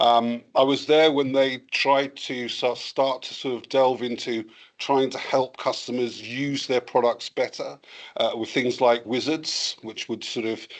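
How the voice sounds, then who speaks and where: Against a quiet background, a man with a slight English accent speaks at medium pitch. His intonation is monotone and flat, and his pace fairly slow. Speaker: cybersecurity vendor presenter. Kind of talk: webinar presentation. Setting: webinar.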